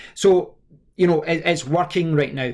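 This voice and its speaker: A man with a Scottish accent talks at a fairly quick pace with ordinary pitch variation in a very clean recording with a silent background. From Scotland. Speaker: tech reviewer. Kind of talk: tutorial. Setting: screen recording with webcam. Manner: halting.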